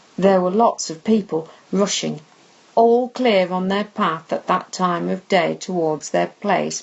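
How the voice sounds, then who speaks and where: A woman with a medium pitch talks at a very slow pace and ordinary pitch variation, with noticeable background noise behind her. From Lancashire, England. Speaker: author reading own novel. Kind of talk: audiobook reading of a novel.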